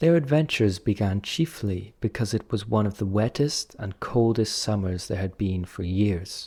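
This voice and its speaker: A man's fairly low, somewhat breathy voice with a dark, mellow tone and ordinary pitch variation, on a very clean recording with a silent background. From United Kingdom. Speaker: English teacher. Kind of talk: audiobook reading for learners. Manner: slow, clear.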